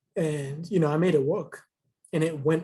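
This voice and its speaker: Soft-spoken and dark, mellow in tone, a man talks at a moderate pace in a fairly high pitch with fairly even intonation. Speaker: museum tour guide in training. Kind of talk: casual chat.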